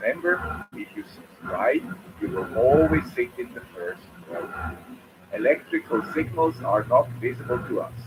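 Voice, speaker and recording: Someone with a Swiss accent speaks at a fairly slow pace with big swings in loudness. Background noise is noticeable. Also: man. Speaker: electronics YouTuber. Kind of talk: tutorial.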